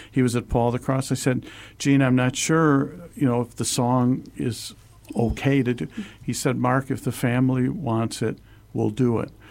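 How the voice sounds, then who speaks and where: Man's medium-pitched voice, fairly even intonation, moderate pace, on a very clean recording with a silent background. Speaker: co-host and church worker. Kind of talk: casual radio talk show chat. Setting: studio.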